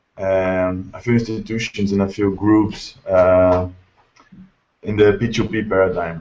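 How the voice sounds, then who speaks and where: Spoken in a Brazilian Portuguese accent, the delivery is fairly slow with monotone, flat intonation. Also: man, fairly low pitch for a man. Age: 20s. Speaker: English teacher. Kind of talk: self-introduction in video call. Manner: halting, many fillers.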